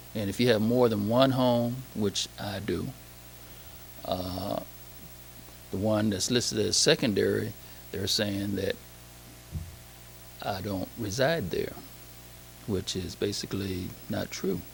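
With an American accent, a man speaks at a very slow pace in a fairly low pitch, with ordinary pitch variation, long, frequent pauses and audible room echo. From Saginaw, Michigan. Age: 60s. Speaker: public commenter at council meeting. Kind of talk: public comment. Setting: council meeting hall. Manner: halting, many fillers.

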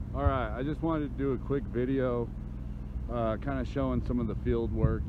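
Loud background noise surrounds a man who speaks at a moderate pace with ordinary pitch variation, his sound dry with no echo. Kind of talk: casual vlog chat. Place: open country. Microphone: phone near.

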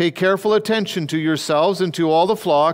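Moderate pace from a man, quiet background. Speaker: pastor. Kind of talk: scripture reading in a sermon. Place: church. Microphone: headset.

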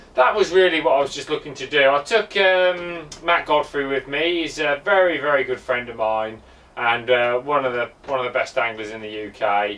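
A man's voice comes through bright and sharp, with lively intonation. He speaks with hardly any pauses. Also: moderate pace. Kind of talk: casual recounting to an off-camera interviewer. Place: garage. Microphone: camera far.

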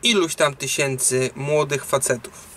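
A man's voice over light background noise. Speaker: truck driver vlogger. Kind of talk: casual vlog chat, opinion. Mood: serious, concerned. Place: car. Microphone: phone near.

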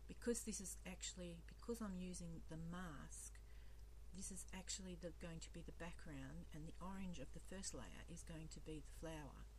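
Soft-spoken and mumbling, a woman talks at a moderate pace in a very deep, low pitch with monotone, flat intonation. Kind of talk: casual how-to tutorial narration. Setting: recorded voice-over while demonstrating at a craft table. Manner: soft-spoken, mumbling.

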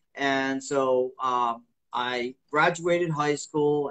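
A man's fairly high pitch and fairly even intonation over a quiet background. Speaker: martial arts instructor and author; martial arts instructor. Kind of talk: casual interview. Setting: live video stream. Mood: friendly, relaxed. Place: home room. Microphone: video call.

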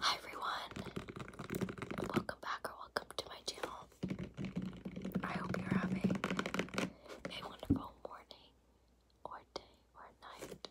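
Long, frequent pauses break up speech delivered at a fairly slow pace. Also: woman. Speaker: ASMR creator. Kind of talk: ASMR makeup tapping video. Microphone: phone near.

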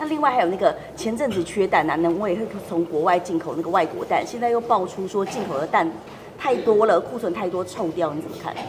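A woman talks at a very fast pace with lively intonation and a medium pitch. Noticeable background noise runs behind her. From Taiwan. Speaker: reporter. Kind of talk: press interview. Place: hall.

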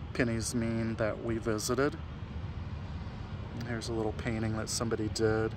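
Against noticeable background noise, a man talks in a monotone, flat intonation, the sound dry with no echo. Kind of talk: tour commentary. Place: open country. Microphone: phone near.

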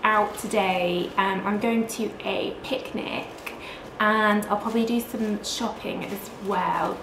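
There is noticeable background noise behind this woman. Her pitch variation is ordinary. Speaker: vlogger. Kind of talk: casual vlog chat. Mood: cheerful, excited. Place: home room.

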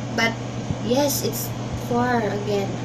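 With loud background noise behind her, a woman speaks very slowly with a Filipino accent. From Philippines. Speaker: vlogger. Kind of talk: casual vlog monologue. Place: home room. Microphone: webcam.

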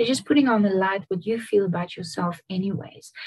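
A somewhat breathy woman speaks against a quiet background. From Namibia. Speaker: singer-songwriter; guest. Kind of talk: interview answer. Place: home room. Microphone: video call.

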